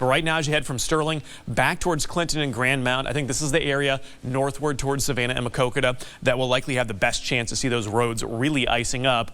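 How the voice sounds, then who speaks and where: Noticeable background noise is present. Over it, the very fast speech carries ordinary pitch movement. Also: man. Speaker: TV meteorologist. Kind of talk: TV weather forecast.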